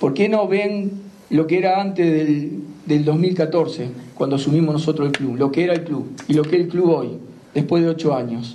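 Speaking at a moderate pace, a man has a fairly high pitch and ordinary pitch variation. His loudness stays very even. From Argentina, Rosario; Argentina. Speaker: football club president. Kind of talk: interview; press conference statement. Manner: halting, repeats words. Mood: indignant, forceful criticism. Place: meeting room. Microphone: handheld.

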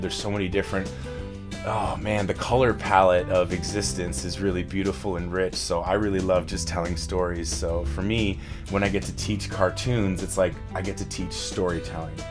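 Clear music plays behind a man with a very deep, low pitch. He talks at a fairly quick pace with ordinary pitch variation. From Canada. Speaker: voice actor and voice acting instructor. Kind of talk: casual interview answer. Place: studio.

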